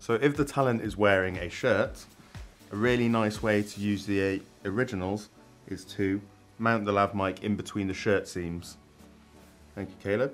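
Faint music plays in the background as a man speaks with a fairly low pitch and fairly even intonation. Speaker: presenter. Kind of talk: tutorial. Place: studio. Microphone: lapel.

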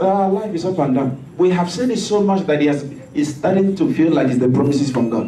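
Lively intonation from a man at a fairly high pitch and fairly quick pace, with audible room echo and light background noise. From West Africa (Nigeria, Igbo). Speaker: pastor. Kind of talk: sermon. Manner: animated. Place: church.

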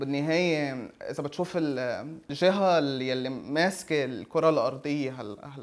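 Hardly pausing at all, a man with a fairly high pitch speaks at a very slow pace. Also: ordinary pitch variation. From Lebanon. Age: 20s. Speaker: caricaturist. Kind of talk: interview; interview answer. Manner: halting, with many fillers. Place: home room. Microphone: lapel.

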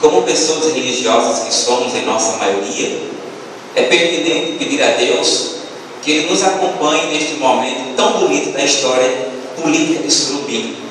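In a room with strong echo and noticeable background noise, a man talks at a moderate pace. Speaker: speaker. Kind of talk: sermon. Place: hall.

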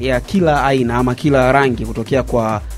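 A man speaks at moderate speed while music plays faintly behind him. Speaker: sports show host. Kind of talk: commentary. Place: studio. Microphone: studio mic.

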